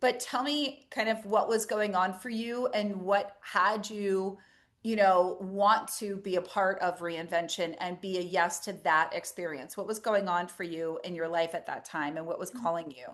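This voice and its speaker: A woman's plain, everyday voice, medium in pitch with ordinary pitch variation, at a moderate pace with hardly any pauses, over a quiet background. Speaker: intuitive coach and energy worker. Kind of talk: interview host questions.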